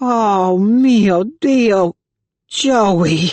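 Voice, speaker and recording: A put-on character voice at a fairly high pitch. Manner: panicked, alarmed, dramatic.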